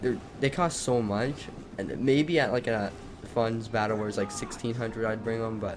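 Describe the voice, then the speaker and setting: A man's fairly low voice with ordinary pitch variation amid noticeable background noise. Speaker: gaming commentator. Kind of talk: live commentary. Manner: fast; animated.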